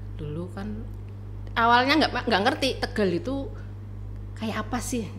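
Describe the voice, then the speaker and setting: With a Central Javanese accent, a woman talks at a fairly slow pace with long, frequent pauses, over noticeable background noise and audible room echo. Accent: Semarang accent, clearly noticeable. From Indonesia, Semarang (Central Java). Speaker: university vice dean, lecturer. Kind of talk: casual interview.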